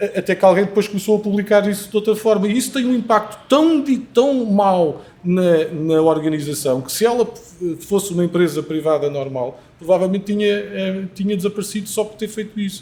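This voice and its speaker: Through noticeable background noise comes a man with a high pitch and lively intonation. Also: moderate pace. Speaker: panel guest. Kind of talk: panel discussion. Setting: live recording before audience. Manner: halting.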